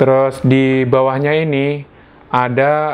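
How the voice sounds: A man speaks in a clear, smooth tone.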